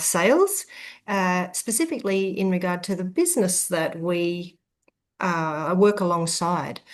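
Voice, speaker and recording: A woman with an ordinary speaking voice talks at a medium pitch and a fairly slow pace. Her intonation is fairly even, and the background is quiet. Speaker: interviewer. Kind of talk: interview host talk.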